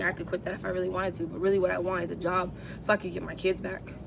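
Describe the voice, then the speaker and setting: A woman's medium-pitched voice with an American accent at a very fast pace, over noticeable background noise. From Southern California, San Bernardino County. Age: 30s. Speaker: homeless woman. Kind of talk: interview. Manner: casual, halting with fillers.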